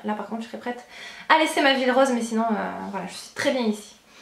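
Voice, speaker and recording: A woman with fairly high pitch and ordinary pitch variation speaks at a very fast pace amid audible room echo and noticeable background noise. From France, Charente (Angoulême). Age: 20s. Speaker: beauty and lifestyle vlogger. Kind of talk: Q&A vlog. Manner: hesitant, many fillers.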